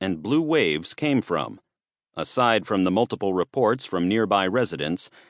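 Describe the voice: Plain reading aloud with lively intonation comes through over a quiet background.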